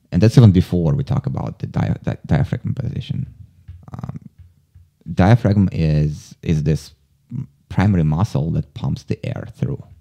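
Very deep and low in pitch, a man speaks with vocal fry and a dark, mellow tone, swinging very widely in pitch at a fairly slow pace with long, frequent pauses, the sound dry and close with no echo. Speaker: podcast host and actor, client of the guest. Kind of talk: casual interview. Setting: studio.

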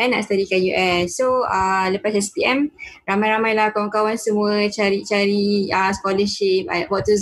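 A woman talks while noticeable background noise runs throughout. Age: 20s. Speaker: university student. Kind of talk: panel discussion.

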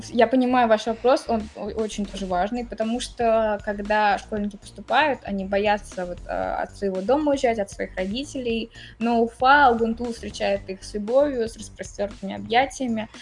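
A woman with a fairly high pitch talks at a moderate pace, showing ordinary pitch variation and big swings in loudness. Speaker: university student and career guidance staff. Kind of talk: interview. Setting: remote call.

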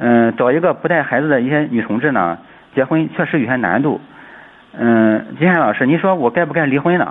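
Lively in intonation, a man with an ordinary speaking voice talks at a fairly quick pace. His pitch is fairly high and his loudness stays very even. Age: 30s. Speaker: caller, schoolteacher. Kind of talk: call-in advice. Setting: phone call.

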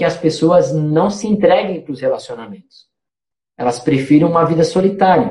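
This voice has a dark, mellow tone and lively intonation. The pace is moderate. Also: man. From Santa Catarina interior, Brazil. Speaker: missionary. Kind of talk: casual chat.

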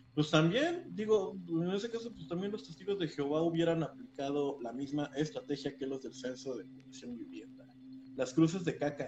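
Over music in the background, the voice moves at a moderate pace with lively intonation and big swings in loudness. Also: man, fairly high pitch for a man. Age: 20s. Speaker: podcast co-host. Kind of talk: casual chat.

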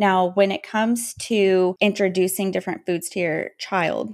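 A woman has an unremarkable speaking voice, medium in pitch, at a moderate pace with fairly even intonation. The recording is very clean, with a silent background. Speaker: pediatric dietitian. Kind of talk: casual interview. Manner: articulate, polished.

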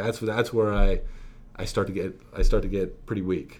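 A man talks at a moderate pace. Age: 30s. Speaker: podcast co-host. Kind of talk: casual chat. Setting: office. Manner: animated.

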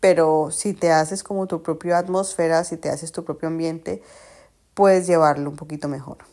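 In a very clean recording with a silent background, a woman with a dark, mellow tone speaks at a fairly low pitch with fairly even intonation. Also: moderate pace. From Colombia, Cali. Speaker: podcast host. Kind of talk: casual monologue. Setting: at home on the sofa. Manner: chatty, talks nonstop.

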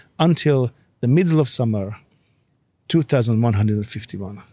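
A somewhat breathy voice with a non-native accent. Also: man. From Hungary. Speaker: behavioral scientist. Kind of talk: casual chat.

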